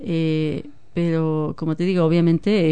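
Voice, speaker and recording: Fairly low in pitch, a woman talks at a fairly slow pace in a dark, mellow tone. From Mexico, Guadalajara. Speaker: former community group chair. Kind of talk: radio interview.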